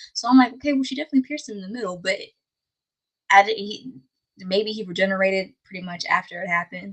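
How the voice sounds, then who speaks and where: Talking very fast, a woman with a somewhat breathy, medium-pitched voice shows big swings in loudness and ordinary pitch variation. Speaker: anime recap streamer. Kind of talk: casual live-stream recap. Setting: live stream. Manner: raised, higher pitch than usual; hesitant, many fillers.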